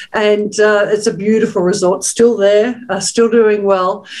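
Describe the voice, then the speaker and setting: A woman with an Australian accent talks in a monotone, flat intonation. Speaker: webinar host, hospitality executive. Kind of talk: webinar panel talk.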